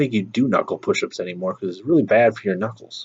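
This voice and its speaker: Talking very fast, a man speaks with a Minnesotan accent. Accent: Minnesota. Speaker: YouTuber. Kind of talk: casual chat. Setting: outdoors on front porch.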